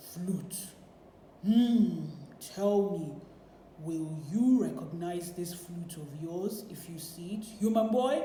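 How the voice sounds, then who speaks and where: Someone uses a put-on character voice at a middle pitch, with a slight echo. The delivery is very slow, with long, frequent pauses. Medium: read story. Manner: commanding.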